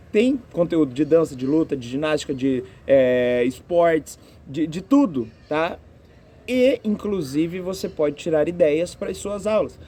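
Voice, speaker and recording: Lively in intonation, a man speaks at a fairly slow pace with a fairly high pitch. His tone is dark and mellow. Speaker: physical education teacher. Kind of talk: interview answers.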